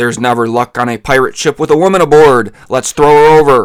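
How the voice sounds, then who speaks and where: Shouting in a put-on character voice, a man talks at a fairly quick pace with a fairly high pitch. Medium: read story. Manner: shouting, blustering.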